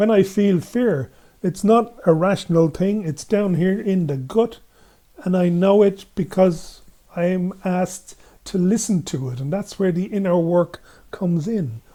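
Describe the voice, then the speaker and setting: Speaking with an Irish accent, a man uses a high pitch and a dark, mellow tone. His pace is fairly slow. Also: ordinary pitch variation. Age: 70s. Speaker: gender equality activist. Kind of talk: podcast interview. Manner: halting.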